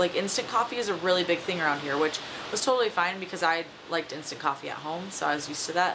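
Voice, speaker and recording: A woman speaks at a very fast pace, with noticeable background noise behind her. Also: fairly low pitch for a woman, ordinary pitch variation. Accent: American. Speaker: vlogger. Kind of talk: casual vlog monologue. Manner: chatty, many fillers.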